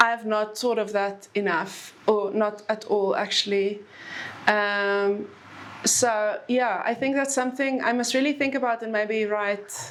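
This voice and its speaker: A woman's fairly high, fairly slow voice in an Afrikaans accent, with fairly even intonation. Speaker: author. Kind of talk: book talk Q&A.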